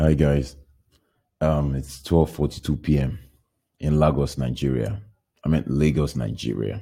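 Speaking fairly slowly, a man uses a very deep, low pitch with ordinary variation and a dark, mellow tone. He leaves long, frequent pauses. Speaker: podcaster. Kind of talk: casual monologue, podcast intro. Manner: halting, hesitant, self-deprecating.

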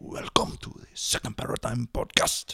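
Someone speaks at a moderate pace in a raspy, put-on character voice. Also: man. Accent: East Asian. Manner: mock-announcer, jokey.

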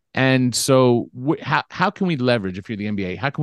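In an American accent and a normal speaking voice, a man talks at a moderate pace with lively intonation, the sound dry and close with no echo over a quiet background. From US West Coast, Los Angeles (Beverly Hills). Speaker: basketball salary cap expert and sportswriter. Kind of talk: casual podcast interview.

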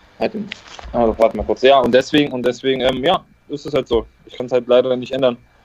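Noticeable background noise accompanies a man who talks very fast at a medium pitch with fairly even intonation. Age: 20s. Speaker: former professional footballer. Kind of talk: interview.

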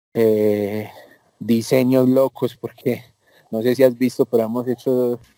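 With a dark, mellow tone at medium pitch, a man speaks at a fairly slow pace in a dry, close sound with no echo. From Colombia, Medellín. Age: 20s. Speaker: concert and event producer. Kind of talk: interview.

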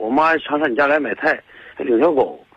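The speaker is a man at a fairly quick pace. His pitch varies in an ordinary way. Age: 40s. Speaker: caller, vegetable shop owner. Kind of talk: phone-in call. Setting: phone call. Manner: halting.

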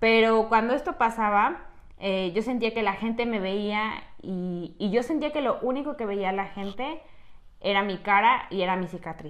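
Speaking at a fairly slow pace, a woman has an unremarkable speaking voice with a fairly high pitch and ordinary pitch variation. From Mexico, Tlaxcala. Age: 20s. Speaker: podcast host, cosmetologist. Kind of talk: casual chat. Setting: small room, seated together.

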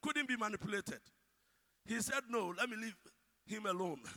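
A man's raised, projected voice at an extremely high pitch, with a Ghanaian accent. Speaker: preacher. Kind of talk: sermon.

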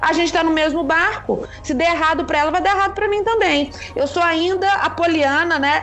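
A woman's extremely high voice at a fairly quick pace, with ordinary pitch variation, very even loudness, audible room echo and music in the background. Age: 30s. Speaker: podcast host. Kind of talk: casual chat.

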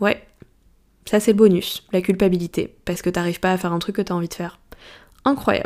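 A woman speaks at a medium pitch and a fairly quick pace, with fairly even intonation. She takes long, frequent pauses. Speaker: life coach and astrologer podcaster. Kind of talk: solo podcast monologue. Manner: deadpan; casual.

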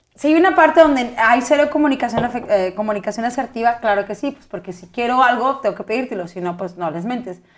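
A woman talks at a very fast pace in a high pitch, her intonation lively, with noticeable background noise. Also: big swings in loudness. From northern Mexico, Chihuahua. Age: 30s. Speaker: podcast co-host. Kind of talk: casual chat.

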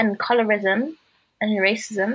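With a fairly bright tone and a slightly husky edge, the woman speaks at a fairly high pitch with fairly even intonation.

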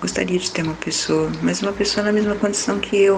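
A woman's voice amid audible room echo and noticeable background noise. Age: 50s. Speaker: listener sharing a relationship problem. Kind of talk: personal testimony.

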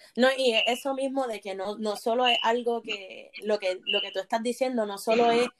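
This woman has a plain, everyday voice, pitched fairly high, moving at a fairly slow pace with fairly even intonation. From Puerto Rico, Bayamón. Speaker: doctoral student in religion. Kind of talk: panel discussion.

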